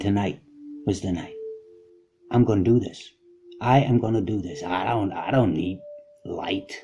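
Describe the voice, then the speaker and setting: A man talks at a moderate pace and fairly low pitch with ordinary pitch variation. He leaves long, frequent pauses. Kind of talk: personal anecdote storytelling. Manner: casual, conversational.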